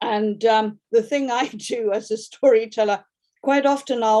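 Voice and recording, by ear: Natural read-aloud voice, pitch varying in an ordinary way, background quiet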